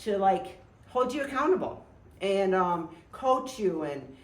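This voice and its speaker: With lively intonation and audible room echo, a woman speaks at a moderate pace. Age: 60s. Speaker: outdoor adventure vlogger and former fitness trainer. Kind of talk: casual chat. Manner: hesitant, many fillers.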